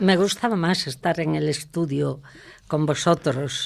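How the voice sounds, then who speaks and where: A woman with a Galician accent speaks at a fairly slow pace. Vocal fry runs through her voice. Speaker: guest, former local politician. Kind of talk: radio interview.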